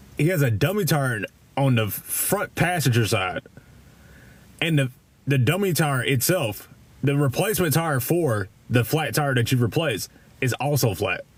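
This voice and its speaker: With a strong Kentucky accent, a man speaks at a moderate pace, leaving long, frequent pauses. His fairly high voice is somewhat breathy, with lively intonation and very even loudness. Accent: thick Kentucky. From Kentucky, Louisville. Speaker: live streamer. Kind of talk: casual chat. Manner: halting, many repeats and fillers; casual, profane.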